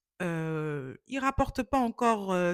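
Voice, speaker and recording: A woman's voice with very wide pitch swings, dry and close with no echo, on a very clean recording with a silent background. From West Africa (Ghana, Côte d'Ivoire), then France from age 11. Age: 30s. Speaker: vlogger, beautician and model. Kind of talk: casual vlog introduction. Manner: hesitant, many fillers (euh).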